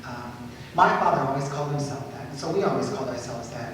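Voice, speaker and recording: A man with a Spanish accent talks at a fairly high pitch. There is noticeable background noise and audible room echo. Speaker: writer. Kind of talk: Q&A after a lecture. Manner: halting, many fillers and repeats.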